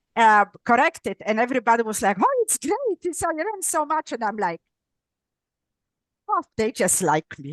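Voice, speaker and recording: A woman with a high pitch speaks at a moderate pace, with long, frequent pauses and very wide pitch swings. The sound is dry and close, with no echo. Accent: non-native. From Poland. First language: Polish. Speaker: neuropsychologist and author. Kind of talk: interview. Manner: halting, self-correcting.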